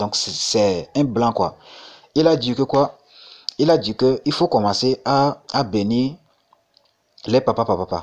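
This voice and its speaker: The pace is very slow. The intonation is lively. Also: man. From Togo. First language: Mina (Gen) (speaking French). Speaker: crypto YouTuber. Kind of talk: casual vlog monologue. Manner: halting, many repetitions and fillers.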